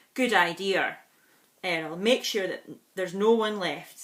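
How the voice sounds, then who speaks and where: A woman puts on a gruff character voice, speaking at medium pitch and a moderate pace with ordinary pitch variation. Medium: read story. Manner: grumpy, gruff.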